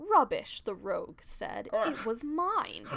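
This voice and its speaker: A woman's put-on character voice in a British accent, extremely high-pitched and fairly slow, over light background noise. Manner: dismissive, snarling.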